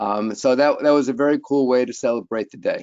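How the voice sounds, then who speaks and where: With fairly even intonation, a man talks at a moderate speed. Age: 60s. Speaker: consulting actuary. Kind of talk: webinar presentation. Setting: online webinar. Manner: hesitant, many fillers.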